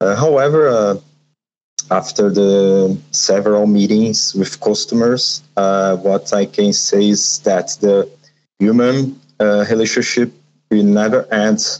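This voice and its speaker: With a Brazilian accent, a man talks at a very slow pace in a fairly low pitch, with ordinary pitch variation and very even loudness. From Brazil, Sao Paulo. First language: Portuguese. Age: 40s. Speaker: trade show company founder. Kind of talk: interview. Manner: halting.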